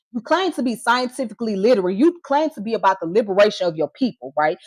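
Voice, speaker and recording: A woman's fairly high voice in an American accent, with very wide pitch swings. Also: dry, close sound with no echo. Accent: Southern US accent, commented on by critics. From Georgia, US (Atlanta). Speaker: live streamer. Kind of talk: heated live stream rant. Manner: animated.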